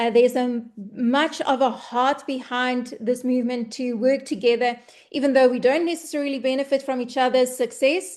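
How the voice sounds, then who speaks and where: The intonation is fairly even at a moderate pace. The background is quiet. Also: woman, high pitch for a woman. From South Africa. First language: Afrikaans. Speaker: online business presenter. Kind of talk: webinar sales presentation.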